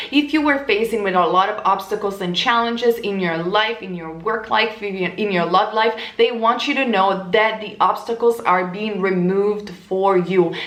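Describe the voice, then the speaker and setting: A woman's medium-pitched voice with an Italian accent, at a moderate pace with ordinary pitch variation and hardly any pauses, over noticeable background noise. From Italy. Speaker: tarot reader. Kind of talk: tarot reading monologue.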